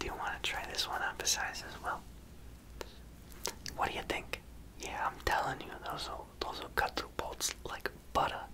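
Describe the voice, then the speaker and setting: The voice is a whisper. Long pauses break it up often. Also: moderate pace. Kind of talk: ASMR roleplay, personal attention show-and-tell. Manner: whispered, soft-spoken.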